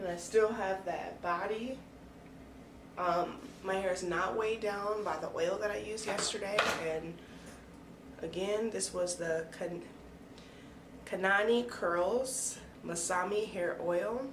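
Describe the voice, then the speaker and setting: A woman speaks at a medium pitch and a fairly slow pace, with fairly even intonation and long, frequent pauses. The room echo is audible, and there is noticeable background noise. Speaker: hair care vlogger. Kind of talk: casual vlog talk. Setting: bathroom with door closed.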